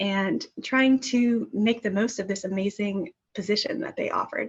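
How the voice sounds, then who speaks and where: The voice is somewhat breathy, with ordinary pitch variation. The background is quiet. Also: woman. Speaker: former program staffer, grants manager. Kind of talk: webinar panel presentation. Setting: virtual webinar.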